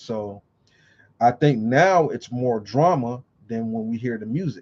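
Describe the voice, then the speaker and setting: Against a quiet background, a dark, mellow voice moves through very wide pitch swings. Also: man. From California. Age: 40s. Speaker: vlogger. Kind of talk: casual monologue. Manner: casual, with frequent fillers.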